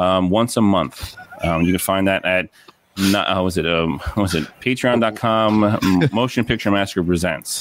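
A man talks in an ordinary speaking voice at a fairly low pitch and moderate pace. His pitch varies in an ordinary way and his loudness stays very even. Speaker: podcaster guest. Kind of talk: casual chat.

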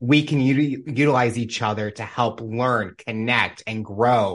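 A man's medium-pitched voice, a plain, everyday voice, against a quiet background. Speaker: podcast host. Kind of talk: interview conversation. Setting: video call.

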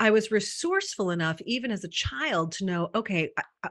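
The woman's tone is bright and sharp. Her intonation is lively. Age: 50s. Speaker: women's wellness coach and author. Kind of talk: casual interview chat.

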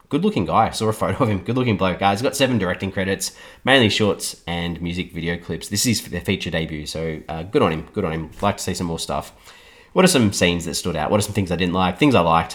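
In a very clean recording with a silent background, a man with a very deep, low voice speaks at a very fast pace with ordinary pitch variation. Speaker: film podcast host. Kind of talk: solo podcast review. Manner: hesitant, many fillers.

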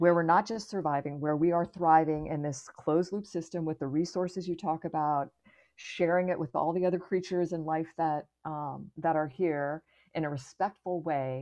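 A woman with an American accent uses a normal speaking voice, fairly low in pitch, at a moderate pace with ordinary pitch variation. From US, Florida. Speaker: astronaut. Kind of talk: casual interview.

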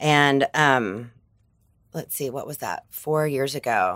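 A woman with a Southern US accent speaks at a very deep, low pitch, her intonation fairly even. The recording is very clean, with a silent background. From US South, Arkansas. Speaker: advertising entrepreneur. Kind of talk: casual chat.

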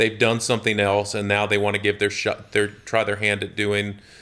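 With a Southern US accent, a man speaks at a moderate pace in a bright, sharp tone and monotone, flat intonation, recorded very cleanly against a silent background. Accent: Southern US (Georgia). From US South, Georgia (Jonesboro, near Atlanta). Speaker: real estate company executive. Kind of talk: interview conversation.

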